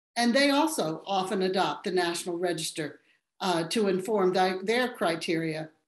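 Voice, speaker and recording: A woman speaks at a medium pitch and moderate pace. The background is quiet, with audible room echo. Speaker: architectural historian and panel moderator. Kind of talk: moderating a webinar panel. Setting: webinar video call. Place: home room. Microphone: webcam.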